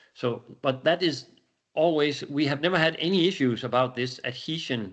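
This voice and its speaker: Lively intonation marks this man's speech in a Danish accent. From Denmark. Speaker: company executive presenting a product. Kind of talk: webinar Q&A. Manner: halting, with many repetitions and fillers.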